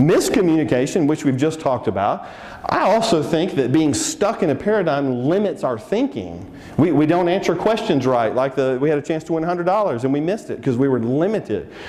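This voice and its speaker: Over noticeable background noise, a man with a fairly high pitch speaks in an animated tone with lively intonation at a fairly quick pace. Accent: Texan. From Texas. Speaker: seminar speaker. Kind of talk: seminar presentation. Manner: animated, conversational.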